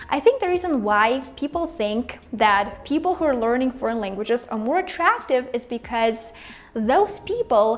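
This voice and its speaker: A woman with a Russian accent, high in pitch, with lively intonation. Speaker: language-learning YouTuber. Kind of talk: casual vlog talk to camera. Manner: animated.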